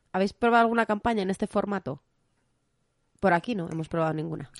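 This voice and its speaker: Over a quiet background, a woman talks very fast at a medium pitch, with lively intonation and long, frequent pauses. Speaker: board game podcast host and teacher. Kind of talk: casual chat.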